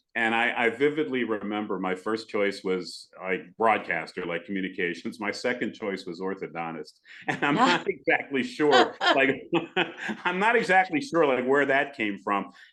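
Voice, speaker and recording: A man with an American accent, medium pitch, very wide pitch swings and a moderate pace. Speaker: radio broadcaster. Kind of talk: podcast interview answer.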